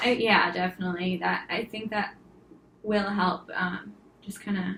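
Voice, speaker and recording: Over noticeable background noise, a woman speaks at medium pitch and a moderate pace in a monotone, flat intonation. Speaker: client who stutters. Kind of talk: therapy role play. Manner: stuttering, halting.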